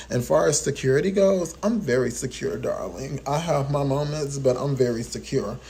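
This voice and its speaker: A man with a fairly high pitch speaks at a moderate pace in an animated tone. His intonation is lively, and audible room echo surrounds him. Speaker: vlogger. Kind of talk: storytelling monologue.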